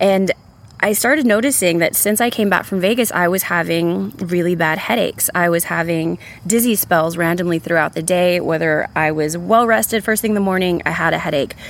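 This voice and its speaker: In an American accent, a woman with a fairly low pitch talks at a fairly quick pace with very even loudness and ordinary pitch variation, against noticeable background noise. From San Antonio, Texas. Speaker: storyteller. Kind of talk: testimony.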